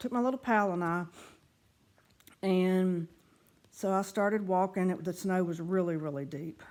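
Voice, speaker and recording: A woman talks in a Southern US accent at a moderate pace, leaving long, frequent pauses. The recording is very clean, with a silent background. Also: medium pitch for a woman, ordinary pitch variation. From US South. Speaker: writer and former pharmacist. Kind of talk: reading aloud her own writings; casual vlog talk. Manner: casual, with fillers.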